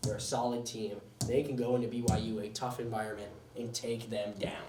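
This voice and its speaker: A man with an American accent speaks at a medium pitch. Audible room echo and noticeable background noise fill the recording. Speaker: sports show host. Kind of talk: casual sports commentary podcast. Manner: fast.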